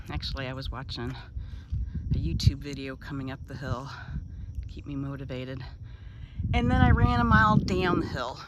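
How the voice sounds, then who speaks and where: With big swings in loudness and long, frequent pauses, a woman talks at a fairly quick pace over noticeable background noise and audible room echo. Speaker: vlogger, boat liveaboard traveler. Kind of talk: casual vlog monologue. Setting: outdoors. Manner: whispering.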